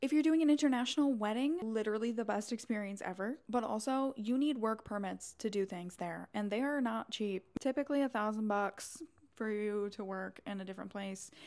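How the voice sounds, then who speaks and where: A woman speaks at a fairly high pitch with an American accent and ordinary pitch variation. Her pace is fairly quick, with hardly any pauses. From New York. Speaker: wedding planner. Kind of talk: casual vlog talk. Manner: fast.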